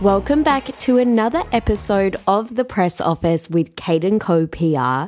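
With music in the background, a woman speaks with very wide pitch swings at a very even loudness. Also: medium pitch for a woman, moderate pace, hardly any pauses. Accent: Australian. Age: 20s. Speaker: podcast host. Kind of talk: casual interview; scripted intro.

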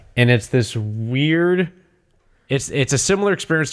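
Heard in a very clean recording with a silent background, a man with an unremarkable speaking voice talks at a moderate pace with lively intonation. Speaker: podcast co-host. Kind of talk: casual chat.

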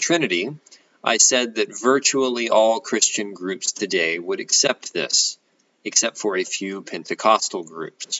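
A man speaks in a plain, everyday voice at medium pitch. His pace is moderate, with ordinary pitch variation. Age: 30s. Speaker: college professor. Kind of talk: lecture. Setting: home.

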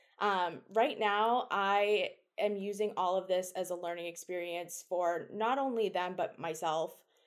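A woman with an American accent and a plain, everyday voice, medium pitch, ordinary pitch variation, a fairly slow pace with hardly any pauses, and a very clean recording over a silent background. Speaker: food science PhD student. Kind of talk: interview.

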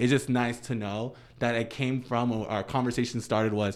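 Someone with an American accent talks at a moderate pace in a normal speaking voice, recorded very cleanly against a silent background. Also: man. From US East Coast, Dominican family. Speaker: professional dancer. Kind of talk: casual chat.

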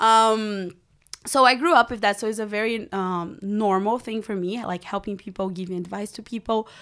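Animated and at a moderate pace, a woman with a Portuguese accent speaks fairly high, her loudness swinging widely on a very clean recording with a silent background. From Brazil, Rio de Janeiro. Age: 20s. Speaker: women's mentor. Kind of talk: interview. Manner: animated, laughs often.

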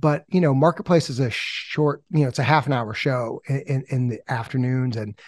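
A man's plain, everyday voice at medium pitch and moderate pace, with ordinary pitch variation, in a dry, close sound with no echo and a very clean recording over a silent background. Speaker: podcast founder and editor. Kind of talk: casual interview chat.

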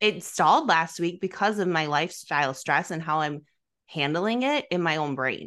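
An American-accented woman speaks at a fairly low pitch and a moderate pace. Her pitch varies ordinarily against a quiet background. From US Midwest. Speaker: fitness podcast host. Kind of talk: casual chat. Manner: soft-spoken.

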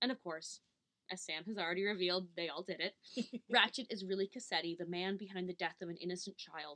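Quiet background behind plain reading aloud

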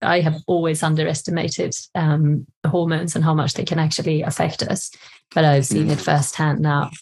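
Somewhat breathy and very deep and low in pitch, a woman with a Swedish accent talks at a moderate pace in a monotone, flat intonation. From Sweden. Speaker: cookbook author. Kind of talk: casual interview.

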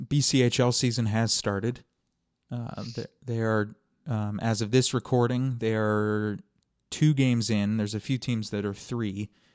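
A man in a normal speaking voice, medium in pitch, with fairly even intonation at a fairly slow pace, on a very clean recording with a silent background. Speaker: hockey podcast host. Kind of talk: casual chat.

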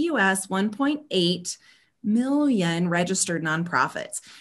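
With a quiet background, a woman uses an ordinary speaking voice of medium pitch and lively intonation. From US South (Georgia, South Carolina). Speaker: nonprofit consultant. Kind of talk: casual interview.

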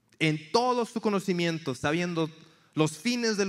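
A man with a high pitch and lively intonation is heard in a very clean recording with a silent background. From Mexico, Tampico, Tamaulipas. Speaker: campus missionary. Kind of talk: sermon.

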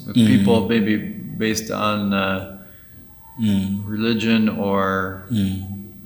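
Over noticeable background noise, a man speaks at a very slow pace with monotone, flat intonation. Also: fairly low pitch for a man. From Uganda. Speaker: podcast host. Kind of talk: interview. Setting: in Kigali, Rwanda.

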